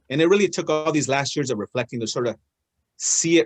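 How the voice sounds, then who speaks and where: The sound is dry and close, with no echo. A man speaks fairly quickly at a fairly high pitch with ordinary pitch variation. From Oregon, US (Willamette Valley). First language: Spanish. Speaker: guest speaker, elected official, small business owner. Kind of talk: personal talk on a video call. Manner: hesitant, many fillers and restarts.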